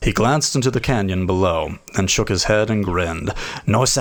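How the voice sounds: A reading voice that sounds natural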